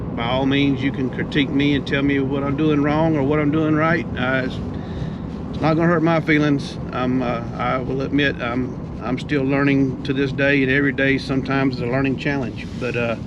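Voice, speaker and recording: A man speaks fairly quickly at a fairly high pitch with monotone, flat intonation. Noticeable background noise and audible room echo are present. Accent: south Georgia. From US South, south Georgia. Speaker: heavy equipment business owner. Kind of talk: casual vlog narration. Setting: outdoors at job site. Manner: halting, many fillers.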